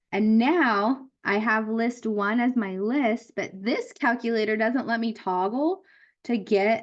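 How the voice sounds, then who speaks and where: Fairly high in pitch with ordinary variation, this woman has an ordinary speaking voice. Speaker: math teacher. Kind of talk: lecture. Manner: casual.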